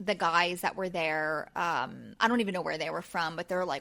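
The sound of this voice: Her voice has a bright, sharp tone and a Pennsylvania accent. This woman speaks at a medium pitch with ordinary pitch variation.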